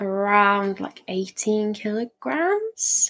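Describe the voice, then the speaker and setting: Her pitch fairly high, a woman talks at a very slow pace. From south coast of England. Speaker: aspiring adventurer, hiker. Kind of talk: casual interview chat.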